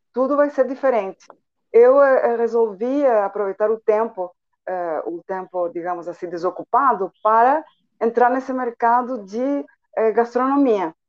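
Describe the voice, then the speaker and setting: With a Spanish accent, a woman talks at a fairly slow pace with long, frequent pauses, a fairly high pitch and ordinary pitch variation. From Chile, Santiago. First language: Spanish (speaking Portuguese). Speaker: entrepreneur and translator. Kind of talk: radio interview.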